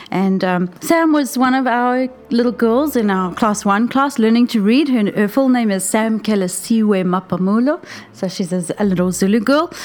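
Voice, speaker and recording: At a moderate pace and very even loudness, a woman with a fairly high pitch talks with lively intonation over noticeable background noise. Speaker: teacher. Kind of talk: casual chat.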